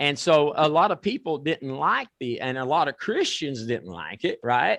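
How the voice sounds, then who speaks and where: Against a quiet background with a dry, close sound and no echo, a man with an ordinary speaking voice talks at a moderate pace, a fairly high pitch and lively intonation. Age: 60s. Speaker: talk show host. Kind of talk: talk show chat.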